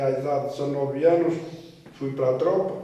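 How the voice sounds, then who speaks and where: Speaking at a fairly slow pace in a monotone, flat intonation, a man is heard with audible room echo. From northeastern Portugal, Trás-os-Montes (Alfândega da Fé). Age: 70s. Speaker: retired emigrant worker. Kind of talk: life story interview. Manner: halting, with repetitions.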